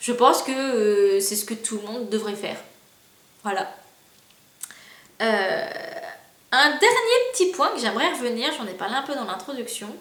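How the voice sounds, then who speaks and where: A high-pitched woman's voice with lively intonation, a fairly slow pace and long, frequent pauses, amid audible room echo and noticeable background noise. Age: 20s. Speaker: youtuber. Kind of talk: casual vlog monologue. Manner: hesitant, many fillers.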